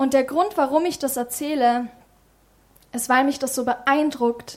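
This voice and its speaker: Moderate pace and fairly even intonation. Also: woman. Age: 20s. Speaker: lay preacher and youth leader. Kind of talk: sermon.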